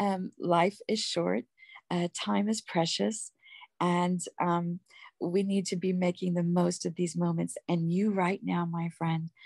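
Against a quiet background, a woman with an ordinary speaking voice talks at a fairly low pitch and a fairly slow pace. The sound is dry and close, with no echo. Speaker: guest giving testimony. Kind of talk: testimony.

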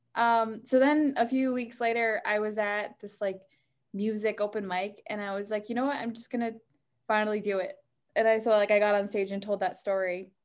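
An unremarkable speaking voice with an American accent, fairly even intonation and a fairly quick pace. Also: woman, fairly high pitch for a woman. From New Hampshire, US. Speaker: stand-up comedian. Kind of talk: casual interview. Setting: video call.

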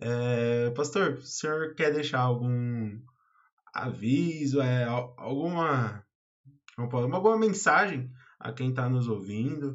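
A man's medium-pitched voice at a very slow pace, with ordinary pitch variation and audible room echo. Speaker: church youth podcast host. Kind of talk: casual chat.

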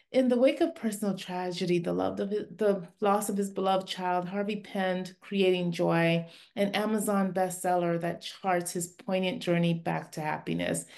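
A woman with an unremarkable speaking voice, medium pitch, fairly even intonation and a moderate pace, hardly any pauses, in a quiet background. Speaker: podcast host. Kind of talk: interview, casual chat. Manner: laughs often, warm.

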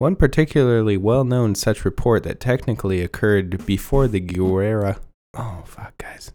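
With an American accent, a man has a dark, mellow tone and a fairly low pitch, speaking at a moderate pace with ordinary pitch variation on a very clean recording with a silent background. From Texas. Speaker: podcast co-host reading a story aloud. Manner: casual, laid-back reading with joking asides.

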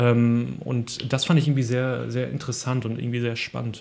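The man's voice has a dark, mellow tone. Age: 30s. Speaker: podcast host. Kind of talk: casual chat.

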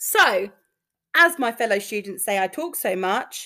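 A woman's bright, sharp voice with a London accent, fairly slow, with very wide pitch swings. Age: 30s. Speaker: podcast host, nursing student. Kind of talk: casual monologue. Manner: animated, talkative.

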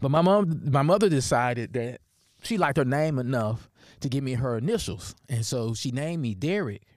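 Heard in a very clean recording with a silent background, a man speaks at a moderate pace with lively intonation. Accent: Deep Southern US. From US South (Tennessee). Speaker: history professor and podcast host. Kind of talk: personal storytelling monologue. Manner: halting, many fillers and restarts.

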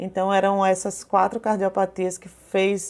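Over a very clean recording with a silent background, a woman has a normal speaking voice, talking at a fairly slow pace and a medium pitch. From Brazil, Paraíba (João Pessoa). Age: 30s. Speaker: small business owner and mother of a patient. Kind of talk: personal testimony interview.

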